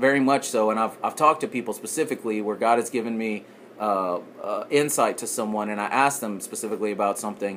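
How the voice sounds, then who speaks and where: Talking at a very fast pace, a man uses a Texan accent. His pitch is medium, with ordinary pitch variation. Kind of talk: casual podcast talk. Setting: background noise.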